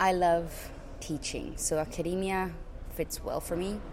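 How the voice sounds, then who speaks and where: A woman of medium pitch with fairly even intonation, in audible room echo. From Latin America. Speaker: PhD candidate, engineer. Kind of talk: interview. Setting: conference.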